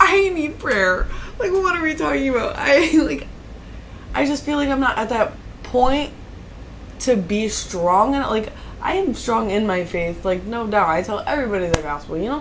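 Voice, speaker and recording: A woman's loud, fairly high voice at a moderate pace, swinging very widely in pitch, with audible room echo and noticeable background noise. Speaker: podcast co-host. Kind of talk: casual chat.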